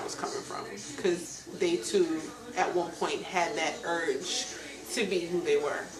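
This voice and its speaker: Fairly slow speech from a woman at medium pitch with ordinary pitch variation, plus audible room echo and noticeable background noise. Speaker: reality show personality and singer. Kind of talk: interview.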